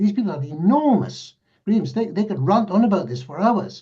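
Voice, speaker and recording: This man's voice has a dark, mellow tone. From northern England, Northumberland. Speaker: mediator. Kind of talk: panel discussion.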